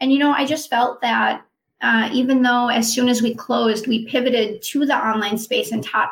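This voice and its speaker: Speaking at a moderate pace with an American accent, a woman uses a high-pitched voice with ordinary pitch variation. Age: 40s. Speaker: personal trainer and wellness coach. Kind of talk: interview.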